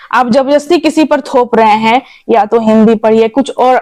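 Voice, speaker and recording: A woman speaks in a Bengali accent. Her fairly high voice has a dark, mellow tone. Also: dry, close sound with no echo. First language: Bengali (speaking Hindi). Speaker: Bengali community activist. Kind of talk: interview.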